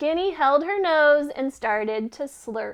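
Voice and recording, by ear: This woman speaks slowly in a high voice. Her intonation is lively.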